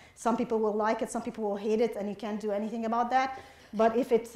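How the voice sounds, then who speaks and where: Monotone, flat delivery in an Arabic accent. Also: woman. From Egypt, Alexandria. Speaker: novelist. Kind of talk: audience Q&A at a book event. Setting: public forum with audience.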